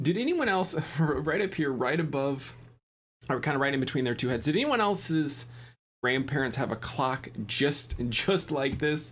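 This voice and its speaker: The speech moves at a fairly slow pace in an animated tone. The recording is very clean, with a silent background. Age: young. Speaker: real estate investor and reaction video host. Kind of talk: reaction commentary. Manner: casual, animated.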